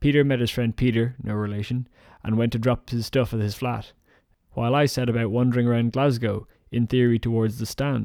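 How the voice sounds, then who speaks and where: In a Dublin accent, the voice has a dark, mellow tone and monotone, flat intonation, moving at a fairly quick pace on a very clean recording with a silent background. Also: man, medium pitch for a man. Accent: Dublin Irish. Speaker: comedian. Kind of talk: spoken diary monologue.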